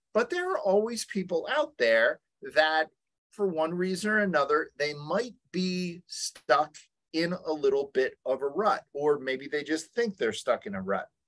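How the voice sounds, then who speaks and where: A man speaks at a fairly slow pace with a quiet background behind him. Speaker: webinar presenter. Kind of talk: lecture. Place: home room. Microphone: webcam.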